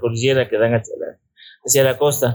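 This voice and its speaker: At a fairly quick pace, a man talks in a medium pitch with a somewhat breathy sound. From Ecuador, Riobamba (Andean highlands). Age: 80s+. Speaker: mountaineer. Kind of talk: interview. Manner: halting, with repetitions.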